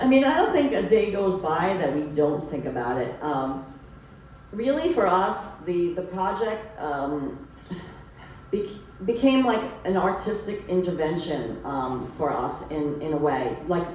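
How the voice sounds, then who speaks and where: A woman's fairly low voice in a New York accent, with very wide pitch swings at a fairly slow pace, amid noticeable background noise and audible room echo. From New York City. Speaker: photographer and book author. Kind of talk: book talk conversation. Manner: casual, many fillers and repetitions.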